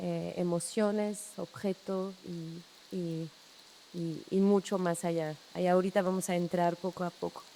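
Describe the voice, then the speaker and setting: A woman's fairly low-pitched, dark, mellow voice with monotone, flat intonation at a fairly slow pace. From France, Brittany. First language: French (speaking Spanish). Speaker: landscape architect. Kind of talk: public talk. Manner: halting, many repetitions.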